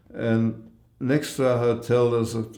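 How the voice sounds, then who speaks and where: In a room with audible echo, a man speaks at a medium pitch with a dark, mellow tone. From central Europe, Germany and Czech Republic, later Australia. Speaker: Holocaust survivor. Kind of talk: interview. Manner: halting.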